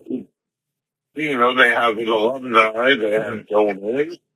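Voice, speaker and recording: Speaking very slowly with an American accent, a man keeps a medium pitch and ordinary pitch variation. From Long Island, New York. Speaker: guest, former schoolmate. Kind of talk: casual interview.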